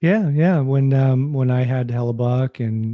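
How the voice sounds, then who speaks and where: Speaking with a Canadian accent, a man has a dark, mellow tone and fairly even intonation. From western Canada (British Columbia). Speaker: podcast host, hockey goalie coach. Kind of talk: casual chat.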